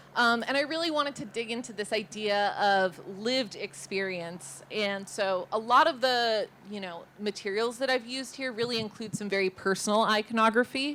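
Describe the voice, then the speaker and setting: Hardly pausing, a woman with a Californian accent speaks at a moderate pace and a fairly high pitch, with a bright, sharp tone and ordinary pitch variation. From Los Angeles, San Fernando Valley. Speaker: artist. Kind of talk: presentation. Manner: casual, filler-heavy.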